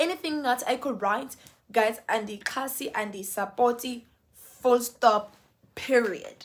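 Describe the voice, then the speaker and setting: A woman speaks with a South African accent in a high pitch. Her tone is animated, and her pitch varies in an ordinary way. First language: Xhosa. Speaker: YouTuber, lifestyle vlogger. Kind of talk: casual vlog monologue.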